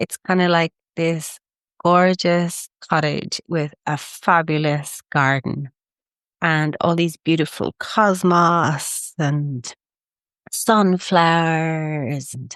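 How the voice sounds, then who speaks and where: A woman with an Irish accent talks at a very slow pace. Her intonation stays fairly even, and the sound is dry and close with no echo. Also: fairly low pitch for a woman. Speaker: spiritual wellness podcaster. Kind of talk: casual podcast monologue. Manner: warm, effusive.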